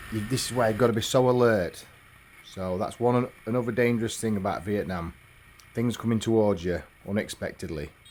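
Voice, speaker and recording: A man talks with an English accent. His pitch varies in an ordinary way. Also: fairly low pitch for a man, fairly quick pace. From England. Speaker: motorbike travel vlogger. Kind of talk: travel vlog narration.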